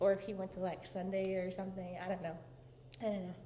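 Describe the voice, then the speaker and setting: A woman with a medium-pitched voice speaks in a room with audible echo, and noticeable background noise can be heard. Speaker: vlogger. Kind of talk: casual vlog chat. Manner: animated.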